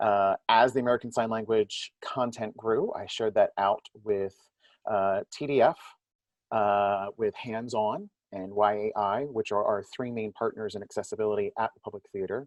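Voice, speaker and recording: A man's voice at medium pitch, a normal speaking voice with fairly even intonation, moderate pace and big swings in loudness. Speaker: theater audience services director. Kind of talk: panel discussion.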